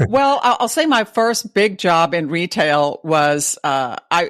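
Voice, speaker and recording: A woman with a Texas accent. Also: dry, close sound with no echo. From Texas (Dallas). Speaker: retail advisor. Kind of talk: interview.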